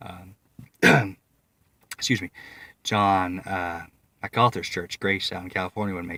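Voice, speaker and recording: This man's very deep, low voice has a bright, sharp tone, flat monotone intonation, a fairly slow pace and long, frequent pauses, on a very clean recording with a silent background. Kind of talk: casual vlog monologue. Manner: halting, with fillers.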